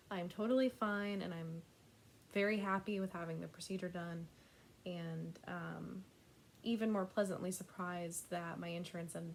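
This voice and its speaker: With an American accent, this voice keeps a moderate pace and fairly even intonation. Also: woman. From United States. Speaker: cross-stitch vlogger. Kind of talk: casual vlog update.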